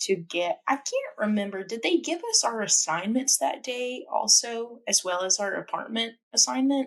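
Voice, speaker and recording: A woman with a Memphis accent at a fairly slow pace, with lively intonation. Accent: Southern US (Memphis). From US South, Memphis, Tennessee. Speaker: podcast co-host. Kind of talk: casual chat.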